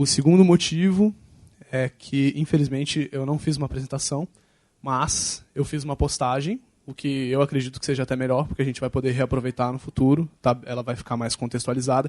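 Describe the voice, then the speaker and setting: Someone with a Brazilian accent talks at a fairly quick pace, the sound dry and close with no echo over a quiet background. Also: man, medium pitch for a man. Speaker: open data speaker. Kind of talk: lecture. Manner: fast, excitable.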